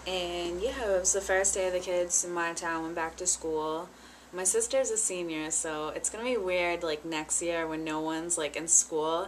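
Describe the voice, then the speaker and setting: A woman speaks in a normal speaking voice, fairly low in pitch with fairly even intonation. Her pace is moderate, and there is light background noise. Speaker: vlogger. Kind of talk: casual vlog chat. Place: home room. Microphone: webcam.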